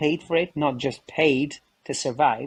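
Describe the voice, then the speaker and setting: Male speech, somewhat breathy, with fairly even intonation. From Kosovo. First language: Albanian. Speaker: photojournalist. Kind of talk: interview conversation.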